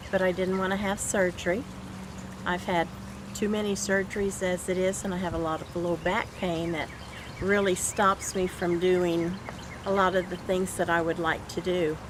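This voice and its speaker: Over noticeable background noise, a woman at medium pitch talks at a moderate pace with a monotone, flat intonation. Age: 70s. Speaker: patient giving testimonial. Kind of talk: testimony.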